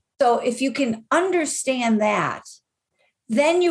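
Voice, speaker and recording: A woman's energetic, somewhat breathy voice at a fairly slow pace, with very wide pitch swings. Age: 60s. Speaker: life coach and author. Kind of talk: podcast interview.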